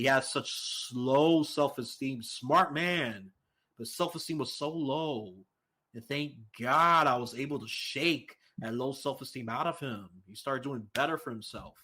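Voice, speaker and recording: A man with a New York accent, fairly slow and animated, bright and sharp in tone, with ordinary pitch variation and big swings in loudness on a very clean recording with a silent background. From New York City. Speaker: political podcast guest, independent voter. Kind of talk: casual chat.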